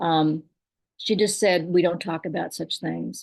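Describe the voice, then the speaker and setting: A woman in a Southern US accent against a quiet background. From Kentucky. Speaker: poet and storyteller. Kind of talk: personal story told at a poetry reading.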